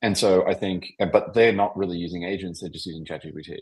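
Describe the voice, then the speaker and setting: This man talks at a fairly quick pace. He has an Australian accent. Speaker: tech founder. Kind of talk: podcast interview. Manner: halting, many fillers.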